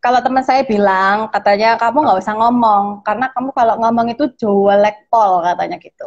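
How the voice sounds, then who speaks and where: With music in the background, a woman with a strong Javanese accent talks at a fairly quick pace and a fairly high pitch, hardly pausing at all. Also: ordinary pitch variation. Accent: thick Javanese. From Surabaya.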